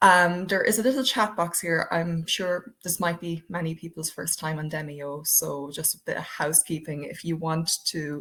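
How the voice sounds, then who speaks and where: A woman's fairly low voice with an Irish accent and fairly even intonation. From Ireland. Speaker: diversity project coordinator. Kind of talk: webinar presentation. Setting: online webinar. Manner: hesitant, many fillers.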